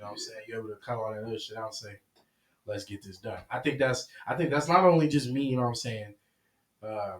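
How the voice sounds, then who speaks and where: A man's medium-pitched voice with ordinary pitch variation, very fast delivery, big swings in loudness and long, frequent pauses. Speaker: podcast co-host. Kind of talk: casual chat.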